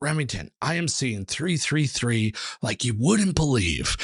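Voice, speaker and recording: Using a put-on character voice, a man speaks fairly slowly at medium pitch. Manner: excited, emphatic.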